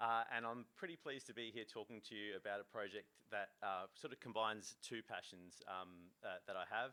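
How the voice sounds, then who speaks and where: A man with an Australian accent, fairly quick and fairly even in intonation, with a bright, sharp tone. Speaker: fishing association executive. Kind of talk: conference talk. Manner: fast; halting, many fillers.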